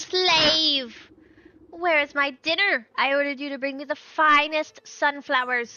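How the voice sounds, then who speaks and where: In a put-on character voice, a woman sounds shrill and high-pitched, keeping a fairly even intonation at a fairly slow pace. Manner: imperious, bossy.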